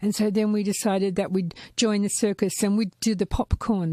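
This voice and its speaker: A woman speaks at a moderate pace in a medium pitch, with monotone, flat intonation and a dark, mellow tone. The recording is very clean, with a silent background and a dry, close sound with no echo. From Gold Coast, Australia. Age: 60s. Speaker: podcast guest, former clown. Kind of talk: casual chat.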